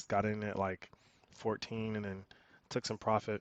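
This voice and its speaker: A man talks in a flat monotone at a moderate pace. His pitch sits fairly low. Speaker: day trader. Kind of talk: casual trading recap. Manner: hesitant, many fillers.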